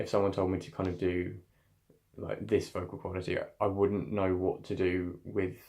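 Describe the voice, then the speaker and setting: Over a quiet background, a man with a very deep, low pitch, a dark, mellow tone, and vocal fry speaks at a moderate pace in a monotone, flat intonation. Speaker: drama student. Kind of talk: vlog reflection on voice training. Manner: casual, hesitant.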